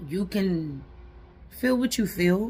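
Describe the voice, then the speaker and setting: A somewhat breathy woman's voice with a dark, mellow tone and lively intonation. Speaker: self-help vlogger. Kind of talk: motivational vlog talk. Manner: animated.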